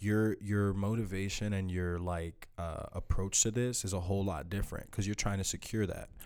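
A fairly low-pitched man, moderate in pace with hardly any pauses, monotone and flat, on a very clean recording with a silent background. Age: 20s. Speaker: small business owner. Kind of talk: casual chat.

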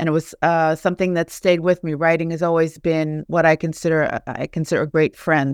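In an American accent, a woman speaks with an unremarkable speaking voice, fairly low in pitch, and fairly even intonation. The recording is very clean with a silent background and a dry, close sound with no echo. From Charleston, West Virginia. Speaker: author and professor. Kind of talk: casual interview.

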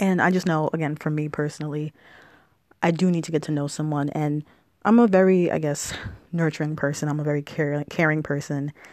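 Very clean and silent in the background, the recording features a woman at a fairly quick pace. Her pitch is very deep and low, and her intonation fairly even. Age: 20s. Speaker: solo podcast host. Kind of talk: casual solo monologue. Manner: fast.

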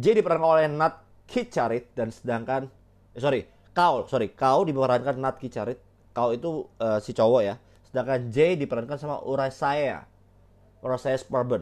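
Over a quiet background, a man with an animated tone talks at medium pitch and a moderate pace, with big swings in loudness. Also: ordinary pitch variation. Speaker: solo podcast host, film reviewer. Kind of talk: casual solo film review monologue. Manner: animated, heavy Indonesian-English code-switching.

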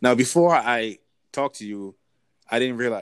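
A man speaks at a moderate pace in a dry, close sound with no echo, on a very clean recording with a silent background. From US, Nigerian American family. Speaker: podcast host. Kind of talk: casual interview chat. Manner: halting, many fillers.

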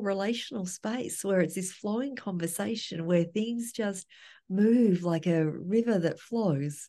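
The tone is dark and mellow, somewhat breathy. Delivery comes at a very slow pace. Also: woman, quiet background. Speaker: trauma therapist and educator. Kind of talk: casual chat.

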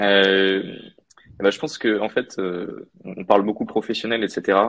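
The man's voice is pitched fairly low. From France and Mauritius. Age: 20s. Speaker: business graduate, former student newspaper editor. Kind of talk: interview. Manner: hesitant, many fillers.

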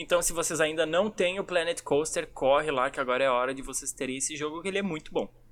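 This man speaks at a very fast pace. He leaves hardly any pauses. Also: fairly high pitch for a man, ordinary pitch variation. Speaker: youtuber, podcast co-host. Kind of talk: casual chat.

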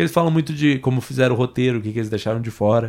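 A man with a medium pitch is heard on a very clean recording against a silent background. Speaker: podcast host. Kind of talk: casual chat. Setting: home studio.

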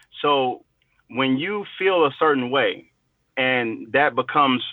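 A man with an American accent has a normal speaking voice. His medium pitch holds a fairly even intonation. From Chicago. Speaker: podcast guest. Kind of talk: casual discussion.

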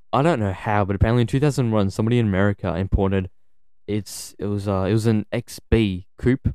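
At a fairly quick pace, a man with an Australian accent speaks with fairly low pitch and a dark, mellow tone on a very clean recording with a silent background. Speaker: podcast co-host. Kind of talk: casual chat.

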